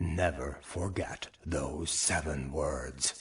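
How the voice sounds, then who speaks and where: A cartoonish character voice from a man, rumbling and very deep, low in pitch. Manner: wry, courtly.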